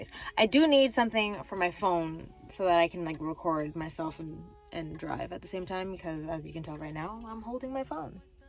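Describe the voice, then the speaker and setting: Music plays behind a woman speaking at a fairly quick pace in a fairly low pitch. Her intonation is lively, and her loudness swings a lot. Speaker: skincare small business owner vlogger. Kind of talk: casual vlog. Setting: in a car.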